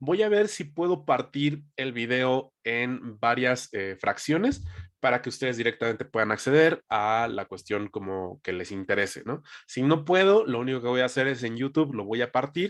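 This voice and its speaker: A man speaks in a normal speaking voice at medium pitch, with lively intonation and a moderate pace against a quiet background. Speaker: sales team trainer. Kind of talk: training session. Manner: conversational.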